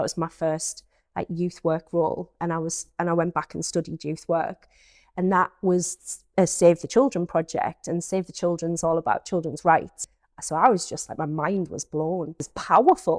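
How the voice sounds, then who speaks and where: A woman with a North East England accent speaks at a fairly low pitch and a moderate pace. Her intonation is fairly even, and the sound is dry and close with no echo. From North East England, Peterlee, County Durham. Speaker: youth engagement manager. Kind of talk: podcast interview.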